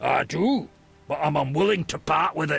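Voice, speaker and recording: A man uses a put-on character voice that is raspy and fairly high, at a moderate pace. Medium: video game.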